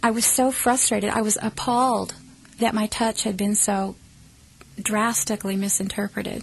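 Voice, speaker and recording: The voice keeps a moderate pace and sounds somewhat breathy. Its intonation is a flat monotone. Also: woman, fairly high pitch for a woman. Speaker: ET contact experiencer. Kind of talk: casual talk to camera.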